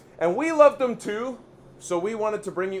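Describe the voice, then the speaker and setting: A man's high-pitched, animated, energetic voice with lively intonation, over noticeable background noise. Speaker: chef and video host. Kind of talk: cooking vlog presentation. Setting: kitchen. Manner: stuttering, tripping over words.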